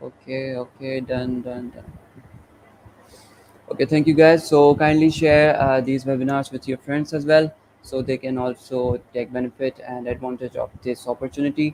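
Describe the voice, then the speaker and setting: A man speaks at a moderate pace in a medium pitch, with monotone, flat intonation. His loudness swings widely, and the sound is dry and close with no echo. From Pakistan. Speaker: webinar organizer and moderator. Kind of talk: webinar closing remarks. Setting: live online webinar.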